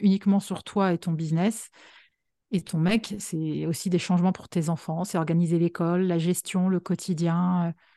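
A woman speaks at a moderate pace in a fairly low, dark and mellow voice, with monotone, flat intonation. The sound is dry and close with no echo, over a quiet background. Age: 40s. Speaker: writer and podcaster, entrepreneur. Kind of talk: interview.

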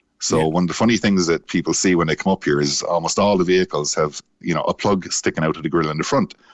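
A man talks at a very fast pace in a very deep, low pitch. His intonation stays fairly even. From Ireland, Cork. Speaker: navy veteran. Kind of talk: casual chat. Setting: phone call.

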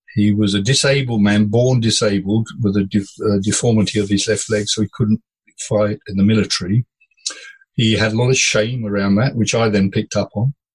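In a flat monotone, a man with a fairly low, somewhat breathy voice speaks at a fairly quick pace with very even loudness and a dry, close sound with no echo. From India and Africa. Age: 70s. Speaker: former ship captain and coach. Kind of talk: casual interview.

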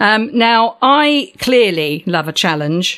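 At a very slow pace, a woman speaks in a warm, upbeat tone. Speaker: podcast host. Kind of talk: interview, scripted intro then casual chat. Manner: warm, upbeat, animated.

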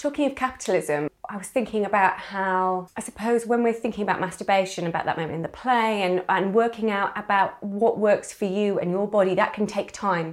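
A woman with a British accent talks fairly quickly at a medium pitch. Her pitch varies normally, and she hardly pauses. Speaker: podcast co-host and writer. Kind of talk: casual interview conversation.

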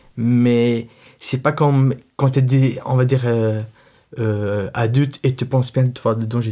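A man with an Arabic accent speaks at a medium pitch in a dark, mellow tone, with ordinary pitch variation. Long, frequent pauses break up his speech in a very clean recording with a silent background. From Syria, Latakia. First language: Arabic (speaking French). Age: 20s. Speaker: young refugee sharing life story. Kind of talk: personal testimony. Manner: halting, with many fillers.

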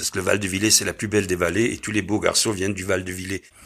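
This man has a very deep, low pitch and a bright, sharp tone. He speaks with an Alsatian accent. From Alsace. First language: Alsatian (speaking French). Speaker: singer-songwriter and humorist, theatre director. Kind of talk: interview.

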